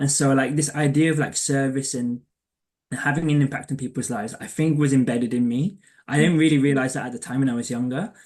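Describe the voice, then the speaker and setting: A fairly high-pitched man with a London accent, fairly quick, with ordinary pitch variation. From England, East London. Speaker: career coach. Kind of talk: casual interview chat. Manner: halting, many fillers.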